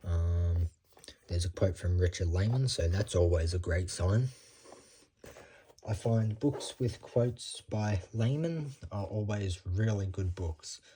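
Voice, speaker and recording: Very deep, low male voice, somewhat breathy. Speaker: booktuber. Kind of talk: casual book haul vlog. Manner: rambling, hesitant with many ums.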